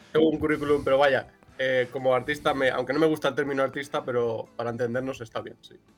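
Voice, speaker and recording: A man talks very fast in a flat monotone while noticeable background noise runs behind him. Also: fairly high pitch for a man. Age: 20s. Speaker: cartoonist and illustrator. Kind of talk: interview.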